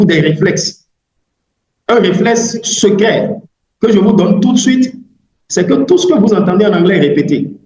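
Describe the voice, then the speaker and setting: A man with a high voice talks rather slowly, his pitch rising and falling in the usual way. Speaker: English language coach. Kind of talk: online webinar talk. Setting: video call. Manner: hesitant with fillers and repetitions.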